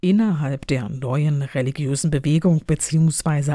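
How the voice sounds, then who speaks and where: A woman speaks in a very deep, low pitch with ordinary pitch variation. Her tone is dark, mellow and somewhat breathy. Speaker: professor and podcast host. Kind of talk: scripted academic moderation. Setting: home office recording. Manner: formal.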